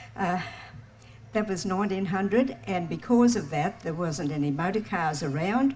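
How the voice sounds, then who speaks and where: Somewhat breathy and fairly low in pitch, a woman with an Australian accent speaks at a fairly slow pace with lively intonation. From Australia, Townsville, Queensland. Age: 80s+. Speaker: local storyteller. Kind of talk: personal storytelling talk. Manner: halting.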